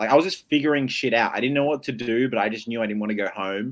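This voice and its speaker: On a very clean recording with a silent background, a man in an Australian accent speaks with fairly even intonation. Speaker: online game contestant. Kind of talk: casual chat. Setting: live stream.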